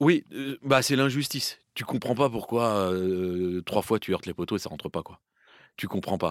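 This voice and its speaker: With lively intonation at a fairly slow pace, a man is heard in a dry, close sound with no echo and a very clean recording over a silent background. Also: big swings in loudness. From Île-de-France (Paris, Seine-et-Marne). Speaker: football commentator. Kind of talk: casual chat.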